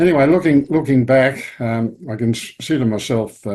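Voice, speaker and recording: A man with an Australian accent has a dark, mellow tone. He speaks at a moderate pace with ordinary pitch variation. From Australia, Victoria. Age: 80s+. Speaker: retired statistics professor. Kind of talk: interview, life story. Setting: video call. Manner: halting.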